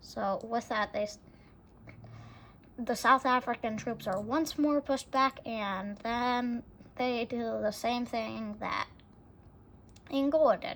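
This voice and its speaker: A woman's fairly high voice with ordinary pitch variation at a fairly slow pace, on a very clean recording with a silent background. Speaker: video game scenario narrator. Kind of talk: casual gameplay commentary. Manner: halting, many self-corrections.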